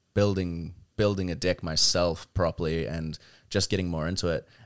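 A man with a very deep, low pitch, in a New Zealand accent, with fairly even intonation, in a very clean recording with a silent background. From New Zealand, South Auckland. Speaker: card game company marketing staffer. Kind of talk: casual chat.

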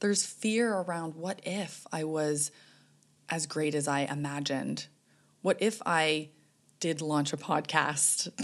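A woman's very deep, low voice in a Canadian accent, with ordinary pitch variation, a fairly slow pace and long, frequent pauses. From Canada. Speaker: life coach and psychotherapist. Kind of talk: interview conversation. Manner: calm, measured.

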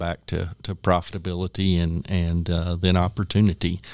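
On a very clean recording with a silent background, a man with a West Texas accent talks at a moderate pace in a very deep, low pitch, his intonation monotone and flat. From Texas Panhandle, Parmer County. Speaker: agricultural trade group executive. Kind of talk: interview.

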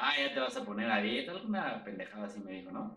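Audible room echo surrounds a man speaking in a Mexico City accent. He moves at a fairly quick pace with very wide pitch swings. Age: 30s. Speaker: sales trainer and podcast co-host. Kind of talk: casual chat.

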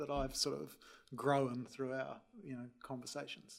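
The speaker is a man with a New Zealand accent. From New Zealand, Wellington. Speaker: energy company chief executive. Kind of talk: panel discussion.

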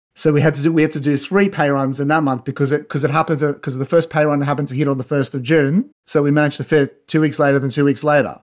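A man with an Australian accent and a fairly high pitch, very fast, hardly any pauses, in a monotone, flat delivery. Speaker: business founder, web developer. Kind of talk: interview conversation. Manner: hesitant, repeats words.

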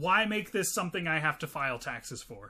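A man's raised, projected voice with a bright, sharp tone, an animated delivery and a moderate pace. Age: 30s. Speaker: podcast co-host and comedian. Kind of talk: casual comedic chat, movie podcast. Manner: joking, profane, animated.

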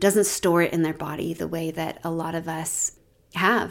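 A woman with an ordinary speaking voice and fairly low pitch talks at a moderate pace in a very clean recording with a silent background. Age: 40s. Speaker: nurse coach and podcast host. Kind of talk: reflective solo podcast talk. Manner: warm, gentle.

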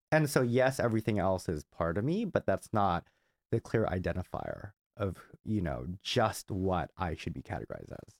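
An unremarkable speaking voice from a man with an American accent, fairly low pitch, lively intonation and a moderate pace, in a dry, close recording with no echo. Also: very clean recording, silent background. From Southern California, Glendale (LA County). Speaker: marketing executive. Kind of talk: interview.

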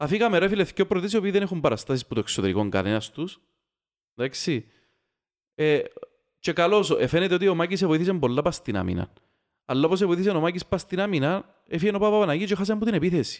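With a Cypriot accent, a man speaks at a very fast pace, high-pitched and with lively intonation. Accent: Cypriot Greek. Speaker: football podcast host. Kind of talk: casual chat.

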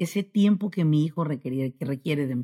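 The sound is close and dry, without any echo. A woman talks with ordinary pitch variation. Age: 40s. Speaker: business consultant. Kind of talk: motivational interview talk. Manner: animated.

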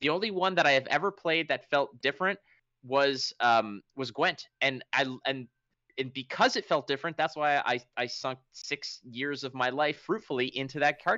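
A man with a fairly high pitch speaks at a moderate pace in an unremarkable speaking voice, with ordinary pitch variation. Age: 30s. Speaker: game commentator and podcast host. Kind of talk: casual chat.

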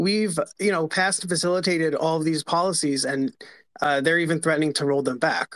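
A plain, everyday voice with an American accent moves at a fairly quick pace with ordinary pitch variation. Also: man. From New York. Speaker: advocacy group writer. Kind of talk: online panel discussion.

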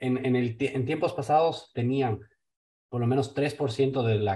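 A man speaks at a medium pitch with a dark, mellow tone. His voice is somewhat breathy, and his intonation stays fairly even. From Ecuador. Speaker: investment firm owner. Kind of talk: casual interview. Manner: hesitant, with many fillers.

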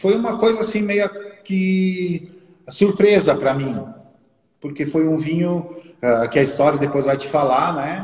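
A man speaks fairly slowly with long, frequent pauses. His pitch is high, with ordinary variation. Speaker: winemaker. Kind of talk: casual chat. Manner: hesitant, many fillers.

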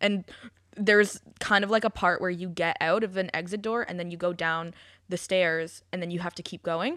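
A woman's normal speaking voice at medium pitch, moderate in pace and fairly even in intonation, with big swings in loudness, on a very clean recording with a silent background. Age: 20s. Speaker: podcast co-host. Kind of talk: casual chat.

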